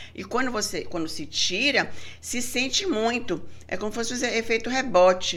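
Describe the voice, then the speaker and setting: With audible room echo, a woman speaks at a moderate pace in a fairly high pitch and with lively intonation. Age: 50s. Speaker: gynecologist and breast specialist. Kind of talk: casual interview.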